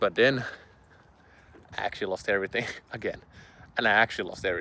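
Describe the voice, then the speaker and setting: With fairly even intonation, a man moves along at a fairly quick pace. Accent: Finnish. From Finland. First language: Finnish. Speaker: online business creator. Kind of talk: casual vlog monologue. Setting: outdoors in public. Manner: hesitant, many fillers.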